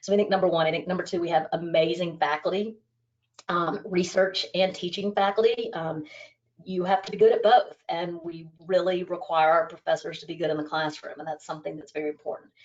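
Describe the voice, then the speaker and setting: A woman speaks fairly quickly in a plain, everyday voice with an American accent, her pitch fairly low. Her intonation stays fairly even while her loudness swings widely. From United States. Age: 40s. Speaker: business school dean. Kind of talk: interview.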